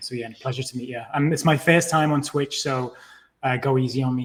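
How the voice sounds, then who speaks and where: In a British accent, the speaker moves at a fairly quick pace with fairly even intonation and big swings in loudness. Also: man, medium pitch for a man. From England. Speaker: TV producer and gaming company founder. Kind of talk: podcast interview.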